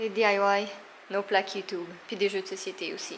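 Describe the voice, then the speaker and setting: Over light background noise, a woman's speech moves at a moderate pace. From Quebec. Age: 20s. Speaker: vlogger. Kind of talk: casual vlog talk. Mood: affectionate, playful. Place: home room. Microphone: phone near.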